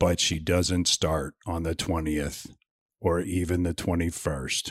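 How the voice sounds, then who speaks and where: Using a put-on character voice, a man speaks at a very deep, low pitch and a fairly slow pace. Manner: dramatic, mock-narration.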